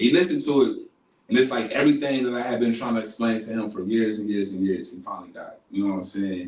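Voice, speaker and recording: Audible room echo surrounds a man's voice. He speaks at a medium pitch and a very fast pace. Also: ordinary pitch variation. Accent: American. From Columbus, Ohio. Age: 30s. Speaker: rapper. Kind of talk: casual interview. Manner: halting.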